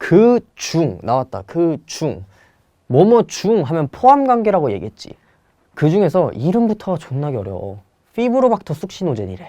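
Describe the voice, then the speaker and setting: Against a quiet background, a man with a high pitch and a dark, mellow tone speaks at a moderate pace, his pitch swinging very widely. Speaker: Korean language exam tutor. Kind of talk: lecture. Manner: casual, conversational.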